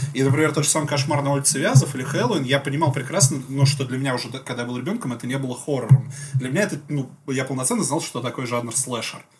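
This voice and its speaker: Noticeable background noise sits behind this man's fairly high voice. He speaks very fast with fairly even intonation. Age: 30s. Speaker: podcast co-host. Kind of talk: casual chat. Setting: studio.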